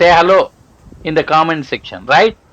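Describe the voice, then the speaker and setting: This man has a high voice with a Telugu accent. He speaks at a fairly slow pace. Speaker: homeopathic doctor and inspirational vlogger. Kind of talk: motivational vlog. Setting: outdoors on a walk. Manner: halting.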